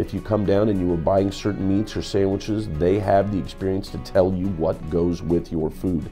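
Faint background music under a man's fairly low voice, with ordinary pitch variation at a moderate pace. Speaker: food show host. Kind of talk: casual food review chat. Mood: enthusiastic, jovial. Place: shop. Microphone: lapel.

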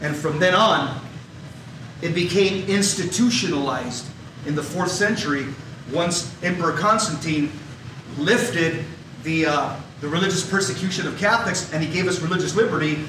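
A man speaks at a moderate pace with ordinary pitch variation. Noticeable background noise and audible room echo surround his voice. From Los Angeles area, US. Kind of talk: talk. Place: hall.

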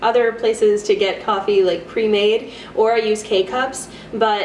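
Amid light background noise and audible room echo, a woman speaks with ordinary pitch variation. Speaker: student vlogger. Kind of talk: casual vlog chat, product review. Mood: cheerful, playful. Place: kitchen. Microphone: camera far.

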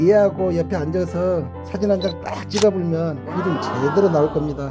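A man with a Jeolla accent at a moderate pace, with music in the background. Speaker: village head. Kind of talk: tourist site audio guide.

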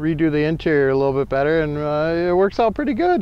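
With an American accent, a man talks at a fairly high pitch in a dry sound with no echo. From Minnesota. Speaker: van owner and customizer. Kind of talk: casual show-and-tell tour. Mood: relaxed, proud. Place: open country. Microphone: camera far.

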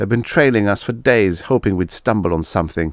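Delivered at a fairly quick pace, a plain, everyday voice moves with lively intonation over a dry, close sound with no echo and a silent background on a very clean recording. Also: man. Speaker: audiobook narrator. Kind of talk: dramatic audiobook narration of a first-person story with character voices. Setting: solo home recording, no music.

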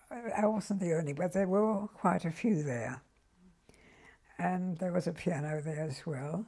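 This woman has a dark, mellow, somewhat breathy tone at a medium pitch, talking at a fairly slow pace with lively intonation. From Germany. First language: German. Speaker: Holocaust survivor. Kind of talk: interview answer.

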